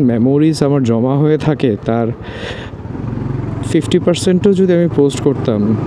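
A man talks with ordinary pitch variation. Noticeable background noise can be heard. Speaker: moto vlogger. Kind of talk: casual vlog chat. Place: motorbike. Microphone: helmet.

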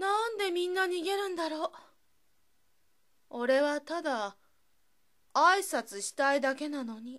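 At a fairly slow pace, a woman speaks with a high pitch, very wide pitch swings, big swings in loudness and long, frequent pauses. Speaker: narrator. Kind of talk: read story. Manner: fresh, inexperienced.

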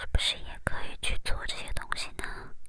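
A woman is whispering at a very slow pace. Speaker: ASMR content creator. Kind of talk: ASMR whisper chat to camera. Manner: whispered, soft-spoken, slow.

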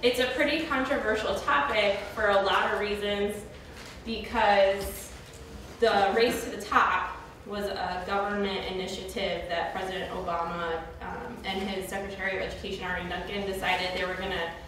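A woman at a moderate pace with ordinary pitch variation, in strong room echo over light background noise. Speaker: presenter. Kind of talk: lecture. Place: classroom. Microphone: camera far.

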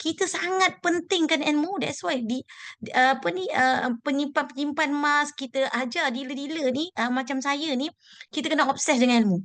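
Moderate pace and ordinary pitch variation. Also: woman, high pitch for a woman. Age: 40s. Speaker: gold savings dealer. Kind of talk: motivational talk. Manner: halting.

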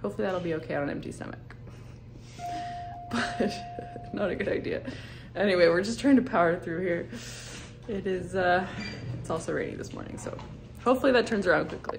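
A woman talks at a fairly quick pace with fairly low pitch, very wide pitch swings and big swings in loudness. Music plays in the background. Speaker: family vacation vlogger. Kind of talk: casual vlog chat. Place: hall. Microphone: phone near.

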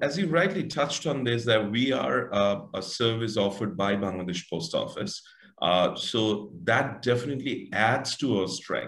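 A man speaks at a moderate pace. The background is quiet, with audible room echo. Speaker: guest. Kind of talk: interview answer. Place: home room. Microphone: video call.

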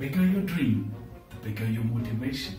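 A man speaks with very wide pitch swings and audible room echo. Clear music plays in the background. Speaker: entrepreneur and parenting coach. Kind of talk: motivational speech. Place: home room.

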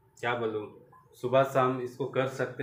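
A man speaks at a very slow pace. There is light background noise and audible room echo. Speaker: home vlogger. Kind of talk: casual vlog chat. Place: home room. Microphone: phone near.

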